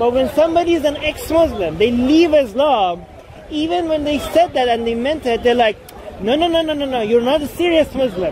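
Over crowd noise in the background, a man with a Persian accent speaks at an extremely high pitch with lively intonation. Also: moderate pace, dry sound with no echo. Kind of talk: casual vlog chat. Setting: outdoors in cold weather, London. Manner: argumentative, explanatory. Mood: argumentative, pointing out hypocrisy. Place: open country. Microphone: phone near.

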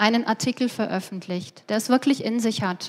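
Her pitch sits fairly high, and a woman talks in an ordinary speaking voice whose pitch moves in an ordinary way. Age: 50s. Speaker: conference speaker, business economist; conference speaker. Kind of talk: lecture. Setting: stage with audience. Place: hall. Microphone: headset.

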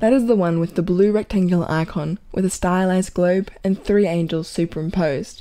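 In a dark, mellow tone, a woman speaks at a medium pitch with ordinary pitch variation. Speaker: announcer, granddaughter or grandson of the reader. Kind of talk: announcement reading.

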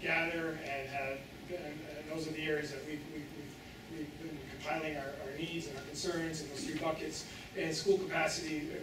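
A man speaks in a room with audible echo. There is noticeable background noise behind him. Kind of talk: report to school board. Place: hall.

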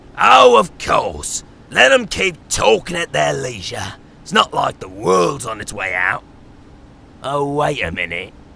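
At a fairly slow pace, a man with a medium pitch performs a put-on character voice. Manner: sarcastic, blunt.

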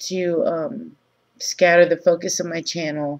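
The background stays quiet while a woman talks. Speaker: video blogger. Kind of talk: casual vlog chat. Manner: low-energy, groggy morning talk. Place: home room. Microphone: webcam.

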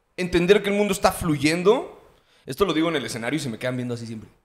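A man's voice swings very widely in pitch. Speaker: podcast host or guest, stand-up comedian. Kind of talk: casual podcast conversation. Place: studio. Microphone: studio mic.

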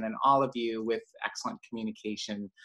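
The voice belongs to a man with a bright, sharp tone. Behind him the background is quiet. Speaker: host. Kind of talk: meeting introduction. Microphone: video call.

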